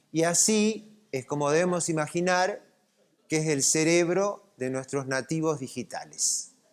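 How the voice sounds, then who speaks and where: Using ordinary pitch variation, the man talks in a fairly high pitch. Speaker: lecturer. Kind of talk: lecture. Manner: animated.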